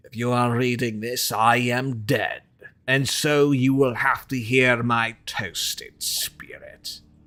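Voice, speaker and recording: Using a put-on character voice with a British accent, a man delivers a theatrical tone at a medium pitch and a fairly slow pace. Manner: theatrical, ominous.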